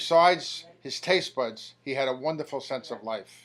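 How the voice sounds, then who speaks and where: On a very clean recording with a silent background, a man speaks at a fairly high pitch, varying it in an ordinary way. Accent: New York. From New York City, Queens. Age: 60s. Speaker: eulogist, brother of the deceased. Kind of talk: eulogy.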